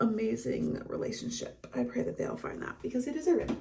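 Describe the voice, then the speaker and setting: A woman keeps a moderate pace while noticeable background noise fills the clip. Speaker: vlogger and photographer. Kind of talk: casual vlog talk to camera.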